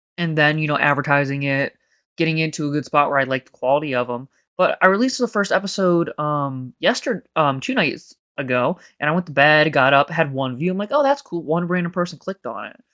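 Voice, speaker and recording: Against a quiet background, the speaker moves at a fairly quick pace. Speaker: gaming YouTuber. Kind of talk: casual gameplay commentary voice-over. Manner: rambling, conversational.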